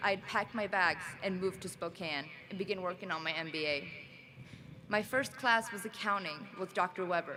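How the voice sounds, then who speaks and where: A woman speaks with a non-native accent. Her pace is fairly quick. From Sweden. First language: not English. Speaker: graduate student speaker. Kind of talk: commencement speech.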